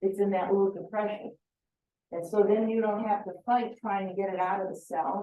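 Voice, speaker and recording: Woman with a normal speaking voice, medium pitch, fairly even intonation and a moderate pace. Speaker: beekeeping presenter. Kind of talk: lecture.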